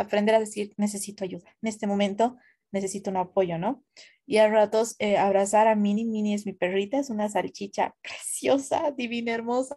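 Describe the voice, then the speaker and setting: A woman speaks in a dark, mellow tone at a fairly high pitch. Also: fairly even intonation, moderate pace, very clean recording, silent background. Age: 20s. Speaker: content creator. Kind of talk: casual chat.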